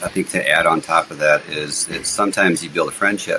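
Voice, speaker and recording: Noticeable background noise accompanies this recording. A man talks at a moderate pace with fairly even intonation. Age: 50s. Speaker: real estate investor. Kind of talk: podcast interview. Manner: conversational, with frequent fillers and restarts.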